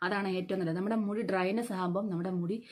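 Here is a woman with an ordinary speaking voice. Her pitch is medium and her intonation fairly even. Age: 50s. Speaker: beautician and vlogger. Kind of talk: beauty tutorial vlog. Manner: casual conversational.

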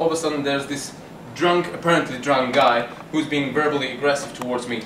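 Over noticeable background noise, a man speaks very fast with fairly even intonation. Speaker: self-defence instructor. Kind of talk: tutorial. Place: bar. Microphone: camera far.

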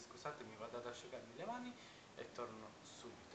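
Noticeable background noise surrounds a man speaking at a fairly quick pace. His medium-pitched voice carries lively intonation. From Palermo, Sicily. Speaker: vlogger. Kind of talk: casual vlog monologue. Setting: at home, entrance hall, to camera. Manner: chatty, rambling, halting.

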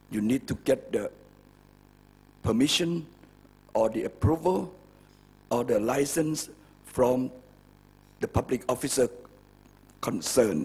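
A somewhat breathy man talks at a moderate pace, leaving long, frequent pauses. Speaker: guest. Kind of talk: speech. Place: hall. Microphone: podium.

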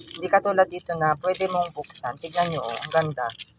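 Noticeable background noise runs throughout. The talking proceeds at a fairly quick pace. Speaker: online seller and vlogger. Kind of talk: sales pitch. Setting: market stall shop, showing goods to camera in a vlog. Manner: repetitive, using 'ayan guys' as a constant filler.

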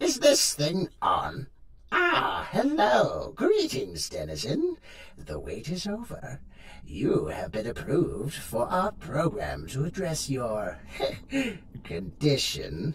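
A man speaking at a very slow pace over clear background noise. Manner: chipper, sardonic, mock-polite.

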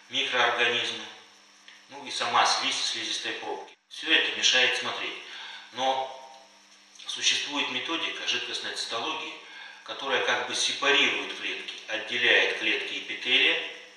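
A man speaks at a fairly slow pace with long, frequent pauses, his voice carrying strong room echo. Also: fairly even intonation. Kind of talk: lecture.

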